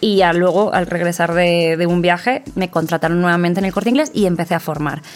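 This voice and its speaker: A woman talks at a fairly quick pace with a fairly low pitch and very even loudness. Noticeable background noise runs beneath her voice. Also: fairly even intonation. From Spain, small town. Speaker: businesswoman in luxury tourism. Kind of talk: interview conversation.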